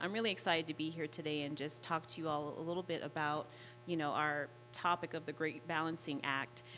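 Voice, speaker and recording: Over background music, a woman with an American accent talks at a fairly quick pace in a very deep, low pitch. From Las Vegas, Nevada. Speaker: life and relationship coach. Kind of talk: panel self-introduction.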